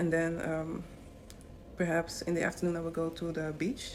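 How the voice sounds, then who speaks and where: A woman talks at a moderate pace with a Dutch accent. Her pitch is fairly low. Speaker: travel vlogger. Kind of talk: travel vlog narration. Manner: hesitant, many fillers.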